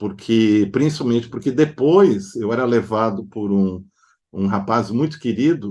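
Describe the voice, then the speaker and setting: Over a quiet background, a man talks fairly slowly in a dark, mellow tone. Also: medium pitch for a man, ordinary pitch variation. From southern Brazil (Novo Hamburgo, Rio Grande do Sul). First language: German (speaking Portuguese). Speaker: psychoanalyst and artist. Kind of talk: interview. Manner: hesitant with filler sounds.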